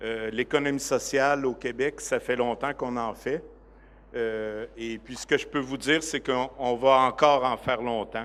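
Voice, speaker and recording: A man with a Quebec accent speaks fairly slowly at a medium pitch. His intonation is monotone and flat. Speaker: director of a cooperative organization. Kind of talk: conference presentation. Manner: hesitant, many fillers.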